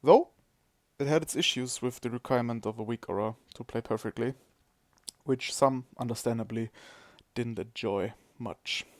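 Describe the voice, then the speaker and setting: A man with a non-native accent and medium pitch, moderate pace with long, frequent pauses, fairly even intonation, dry, close sound with no echo, and a very clean recording over a silent background. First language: not English. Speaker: gaming streamer. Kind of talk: podcast-style monologue. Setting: live stream.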